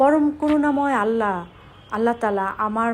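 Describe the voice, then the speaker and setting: Lively intonation in a woman's normal speaking voice, with a fairly high pitch. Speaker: vlogger. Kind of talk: vlog narration.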